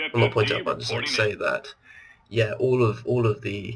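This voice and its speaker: Very fast speech over noticeable background noise. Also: man. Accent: British. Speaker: gaming video creator. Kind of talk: let's play commentary. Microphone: laptop.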